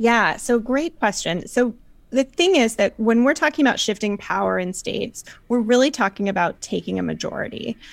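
In an American accent, a woman with an ordinary speaking voice talks at a moderate pace, fairly high in pitch and with lively intonation, on a very clean recording with a silent background. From US South, North Carolina. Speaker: political nonprofit organizer. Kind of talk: interview.

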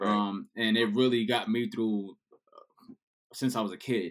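Speaking at a moderate pace, a man with a New York accent has a fairly low voice. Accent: New York City. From New York City. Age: 30s. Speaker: DJ. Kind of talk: casual chat.

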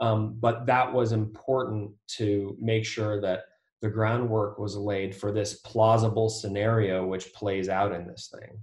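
With an American accent, a man speaks in a somewhat breathy, flat monotone at a fairly low pitch, with big swings in loudness. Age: 40s. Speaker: debut novelist and artist. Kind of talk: interview about writing craft.

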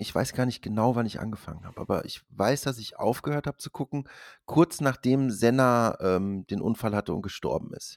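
Recorded very cleanly against a silent background, a man speaks at a medium pitch with ordinary pitch variation in a dry, close sound with no echo. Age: 40s. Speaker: podcast host. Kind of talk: casual chat.

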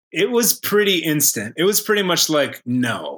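A man in an ordinary speaking voice, lively intonation, and a very clean recording with a silent background. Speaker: comedian and improviser. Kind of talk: casual chat and improvised comedy scenes.

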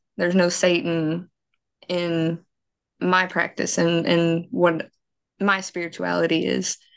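A woman with a strong Southern US accent speaks at a very slow pace in a fairly low voice, with long, frequent pauses. The background is quiet. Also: fairly even intonation. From US South, Mississippi. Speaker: paranormal investigator. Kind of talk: interview.

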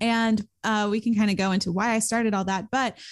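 A woman with an American accent speaks in a normal speaking voice at a fairly quick pace, her fairly high pitch held to fairly even intonation on a very clean recording with a silent background. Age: 20s. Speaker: YouTuber and student entrepreneur. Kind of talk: podcast interview.

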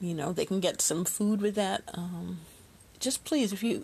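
In an American accent, a woman with a medium pitch speaks at a moderate pace against a quiet background. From US Midwest, far South Side of Chicago. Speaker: podcast host. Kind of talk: casual monologue. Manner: laughs often.

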